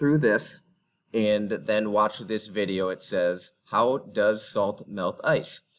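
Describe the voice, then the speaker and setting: A man with a plain, everyday voice and fairly low pitch talks at a fairly slow pace against a quiet background. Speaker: middle school teacher. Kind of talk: recorded class instructions.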